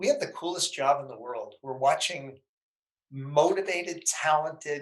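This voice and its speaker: Speaking with an American accent, a man's voice sits fairly high. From US Northeast, Danbury, Connecticut. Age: 60s. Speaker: entrepreneur and investor. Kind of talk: podcast interview.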